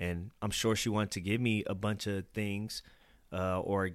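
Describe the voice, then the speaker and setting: A normal speaking voice with an American accent, moderate pace and fairly even intonation, on a very clean recording with a silent background. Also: man. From Fairfield, California, then Cincinnati, Ohio from age eleven. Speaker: youth development director and father. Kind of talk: personal testimony interview.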